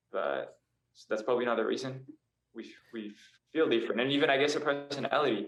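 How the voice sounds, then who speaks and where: A man speaking very fast with long, frequent pauses, in a room with audible echo. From France, moved to Australia at 12. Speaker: indie pop singer-songwriter and model. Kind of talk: casual interview chat. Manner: hesitant, many fillers.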